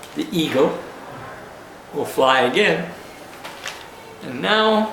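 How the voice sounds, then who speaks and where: In a room with audible echo and noticeable background noise, a man talks very slowly with ordinary pitch variation. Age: 80s+. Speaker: elderly war veteran. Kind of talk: personal video monologue. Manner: halting, with frequent uh pauses.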